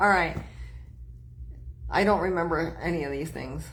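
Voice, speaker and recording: The speaker is a woman. Room echo is audible. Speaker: psychic medium. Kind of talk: live-stream tarot and mediumship readings. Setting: live stream with online chat. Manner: fast; stammering with false starts.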